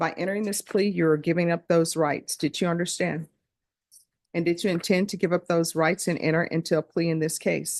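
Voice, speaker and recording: A woman speaks at a fairly quick pace in a Louisiana accent, her pitch fairly low. Her intonation is monotone and flat, and the sound is dry and close with no echo. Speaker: judge. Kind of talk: court hearing. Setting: courtroom. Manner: formal; fast.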